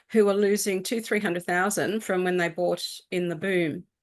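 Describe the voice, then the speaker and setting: In an Australian accent, a woman of medium pitch speaks at a moderate pace with fairly even intonation against a quiet background. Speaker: real estate agent. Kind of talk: interview. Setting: live stream.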